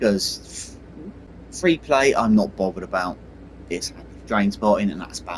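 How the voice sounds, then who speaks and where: A man in a British accent at a moderate pace, with lively intonation, big swings in loudness, and long, frequent pauses. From Britain. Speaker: gaming YouTuber. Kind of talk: gameplay commentary. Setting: home gaming setup, console. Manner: casual, rambling with fillers.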